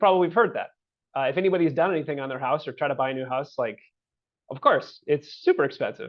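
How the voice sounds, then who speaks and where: The speech moves at a very fast pace. Its loudness swings widely. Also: man. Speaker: housing agency director. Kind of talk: webinar presentation. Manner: halting, many fillers.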